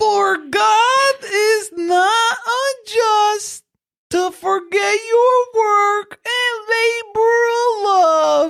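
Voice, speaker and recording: Someone doing a put-on character voice, pitched extremely high and delivered at a very slow pace. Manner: bad, exaggerated.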